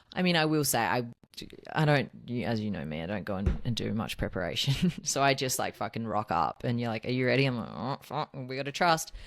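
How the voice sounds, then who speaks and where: A woman with an Australian accent talks at a fairly quick pace in a very deep, low pitch with vocal fry. Her pitch moves in very wide swings. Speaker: podcast co-host. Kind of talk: casual chat. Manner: animated.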